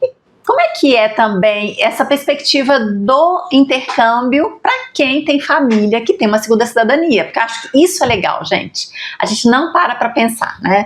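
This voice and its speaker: The speaker has a Minas Gerais accent and lively intonation at a moderate pace. Loudness stays very even over noticeable background noise. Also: woman, high pitch for a woman. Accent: Brazilian Portuguese, Minas Gerais. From Brazil, Minas Gerais. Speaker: podcast host. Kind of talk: interview conversation.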